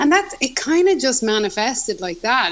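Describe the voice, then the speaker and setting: In an Irish accent, a woman speaks at a moderate pace with lively intonation. Noticeable background noise is present. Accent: Irish brogue. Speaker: musician. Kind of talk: casual chat. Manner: animated.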